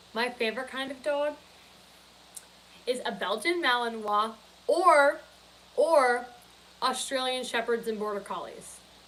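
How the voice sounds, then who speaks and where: Noticeable background noise accompanies a woman speaking at a high pitch with ordinary pitch variation. She goes at a fairly slow pace, with long, frequent pauses. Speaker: live streamer. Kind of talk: casual live stream chat. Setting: grandparents' guest room.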